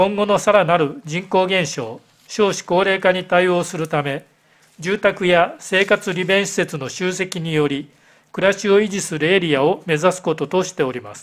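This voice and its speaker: A high-pitched man with ordinary pitch variation and big swings in loudness, over a quiet background. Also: moderate pace. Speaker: town mayor. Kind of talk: formal council answer. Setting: council chamber. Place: hall. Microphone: podium.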